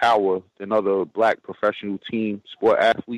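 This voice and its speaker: A man with an American accent speaks at a moderate pace in a normal speaking voice, his medium pitch caught in a dry, close sound with no echo. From New York. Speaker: caller. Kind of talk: call-in question.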